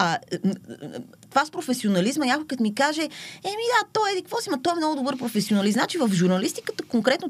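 Speaking at a very fast pace, a woman makes very wide pitch swings. Her voice rises and falls sharply. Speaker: social media poet. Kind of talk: casual interview.

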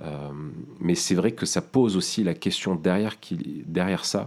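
A man speaks with a dark, mellow tone. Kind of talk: casual discussion.

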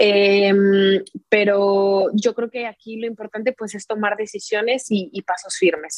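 A woman with an ordinary speaking voice talks at a medium pitch and a fairly slow pace, her intonation fairly even, the sound dry and close with no echo. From Mexico, Querétaro. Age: 20s. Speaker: violinist. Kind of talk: casual interview.

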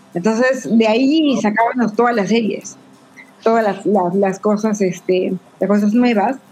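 A woman with an ordinary speaking voice, fairly high pitch, ordinary pitch variation, a fairly slow pace and very even loudness. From Peru, Tacna. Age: 40s. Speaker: guest panelist. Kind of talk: casual chat.

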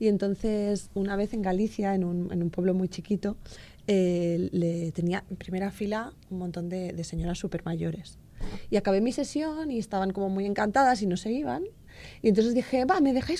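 A woman at medium pitch with a dark, mellow tone and a moderate pace. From Sabadell, Catalonia. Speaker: storyteller. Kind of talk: casual chat.

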